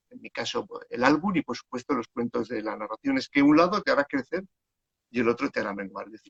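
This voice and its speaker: The speaker is a man with a medium pitch and ordinary pitch variation. He talks at a fairly quick pace in a dry, close recording with no echo. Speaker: children's book author and storyteller. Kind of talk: casual chat. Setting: Instagram live video call. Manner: calm.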